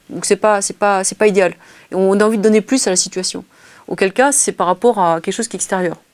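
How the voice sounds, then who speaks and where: The sound is dry and close with no echo. A woman speaks at a medium pitch and a fairly quick pace. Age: 50s. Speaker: interviewee on collaborative intelligence. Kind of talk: interview. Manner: fast.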